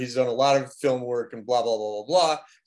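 A man speaks with a normal speaking voice at a medium pitch. His intonation is fairly even. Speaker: composer. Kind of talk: interview.

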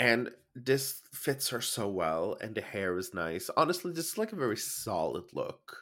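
Speaking fairly slowly at medium pitch, a man has a bright, sharp tone, very wide pitch swings and vocal fry. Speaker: podcast host. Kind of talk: casual chat. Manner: joking, bantering.

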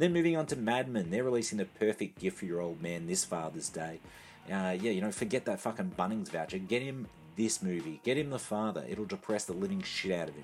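With an Australian accent, a man talks at a fairly quick pace in a fairly low voice that makes very wide pitch swings. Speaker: home video segment contributor. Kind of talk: scripted segment.

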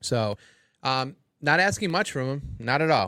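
On a very clean recording with a silent background, a man with a plain, everyday voice speaks at a medium pitch with lively intonation. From Cleveland, Ohio. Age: 40s. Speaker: sports podcast co-host. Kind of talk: casual chat. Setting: studio.

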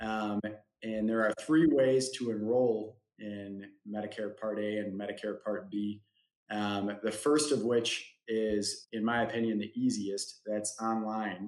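This man has an unremarkable speaking voice with a fairly low pitch and talks at a fairly slow pace. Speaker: insurance agent. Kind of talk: webinar explanation of Medicare plans. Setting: online webinar, live.

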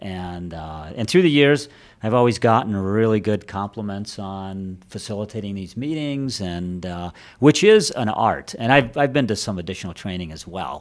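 An ordinary speaking voice, a man's, fairly low and with an American accent, at a moderate pace with big swings in loudness, on a very clean recording with a silent background. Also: lively intonation. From Detroit, Michigan. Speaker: staffing firm executive. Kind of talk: casual interview. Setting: studio at a private club.

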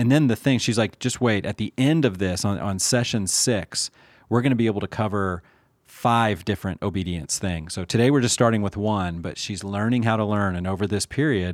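Here is a man with a plain, everyday voice and a fairly low pitch. He speaks at a fairly quick pace, and the sound is dry and close with no echo. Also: ordinary pitch variation, very clean recording, silent background. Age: 40s. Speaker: podcast host. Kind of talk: casual chat.

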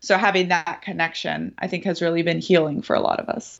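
The woman's voice sits fairly low and moves at a moderate pace. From grew up in cult communes abroad, Philippines-born. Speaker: cult survivor, army veteran, motivational speaker. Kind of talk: interview testimony.

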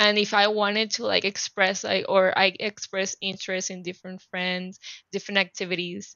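Her speech comes at a moderate pace. The woman's intonation is flat and monotone. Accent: Spanish. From Panama City, Panama. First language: Spanish. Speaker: activist and life coach.

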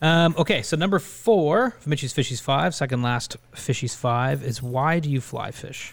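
A man with a Canadian accent sounds somewhat breathy and uses lively intonation. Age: 20s. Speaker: podcast host. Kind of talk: casual chat.

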